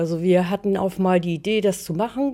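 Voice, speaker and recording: At a moderate pace, a woman speaks in a dark, mellow tone in a very clean recording with a silent background. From northern Germany, Schleswig near Flensburg. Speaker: theatre owner and artist. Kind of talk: casual interview. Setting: at her small theatre.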